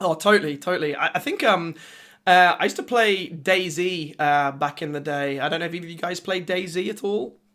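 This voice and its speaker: A high-pitched man with an English accent, bright and sharp in tone, at a fairly quick pace on a very clean recording with a silent background. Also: ordinary pitch variation. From England. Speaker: video game streamer. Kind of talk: casual chat. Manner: energetic, animated.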